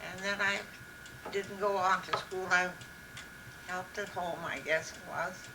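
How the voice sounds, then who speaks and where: In an Upper Midwest accent, a woman speaks very slowly at a medium pitch with monotone, flat intonation over noticeable background noise. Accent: Upper Midwest American. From Minnesota, USA. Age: 80s+. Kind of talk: interview answer. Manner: slow, hesitant.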